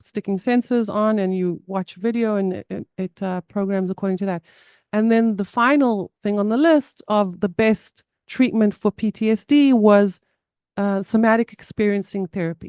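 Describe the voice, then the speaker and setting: Against a quiet background, a woman speaks at medium pitch with fairly even intonation and a dark, mellow tone, the sound dry and close with no echo. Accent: South African. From South Africa. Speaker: somatic therapy guest sharing trauma story. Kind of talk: podcast interview. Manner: halting.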